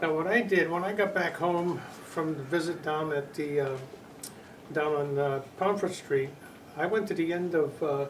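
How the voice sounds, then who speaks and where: A man with a fairly high voice speaks over noticeable background noise, with audible echo in the room. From Connecticut, New England. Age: 80s+. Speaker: flood eyewitness. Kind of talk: oral history interview. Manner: halting, many repetitions and fillers.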